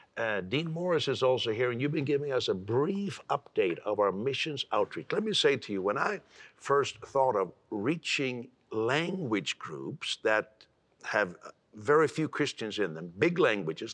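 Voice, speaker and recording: Speaking at a medium pitch, a man moves through very wide pitch swings. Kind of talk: TV talk show interview. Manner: fast.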